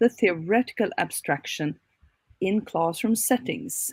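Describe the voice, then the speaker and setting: Lively intonation in a somewhat breathy voice, with a dry, close sound and no echo. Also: woman. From Sweden. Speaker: academic researcher. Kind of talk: conference presentation.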